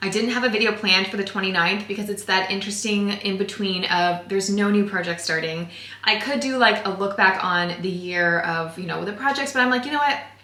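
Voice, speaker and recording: A woman talks at a fairly quick pace with hardly any pauses, at a medium pitch. Audible room echo and noticeable background noise surround her voice. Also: ordinary pitch variation. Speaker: DIY thrift crafting YouTuber. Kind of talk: casual tutorial vlog. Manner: fast; animated.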